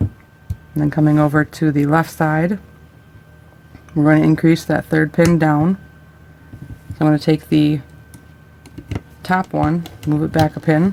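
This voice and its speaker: A woman talks with a very deep, low pitch. Her speech has long, frequent pauses. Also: moderate pace. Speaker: craft tutorial creator. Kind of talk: tutorial. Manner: casual, with fillers.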